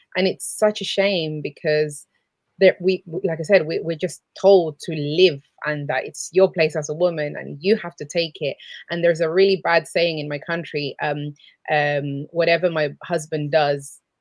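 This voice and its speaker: A woman's fairly low voice with a Spanish accent. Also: fairly even intonation, moderate pace. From South America. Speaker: abuse counsellor. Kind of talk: live show chat. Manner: halting.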